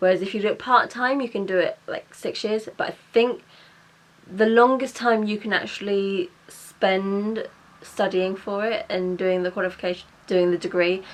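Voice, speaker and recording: With a British accent and a medium pitch, a woman speaks at a moderate pace with ordinary pitch variation over noticeable background noise. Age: 20s. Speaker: vlogger and mature student. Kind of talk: casual vlog chat. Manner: stumbling over words.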